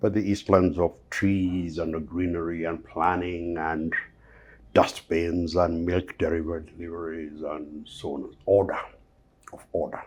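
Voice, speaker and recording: A man's very deep, low voice, monotone and flat, at a fairly slow pace with big swings in loudness. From Kenya, Nairobi. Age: 60s. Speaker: investment banker. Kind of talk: interview.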